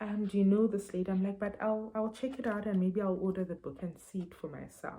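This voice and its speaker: A somewhat breathy, dark, mellow tone at a fairly quick pace. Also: woman. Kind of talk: book review vlog. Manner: halting, many fillers and repeats.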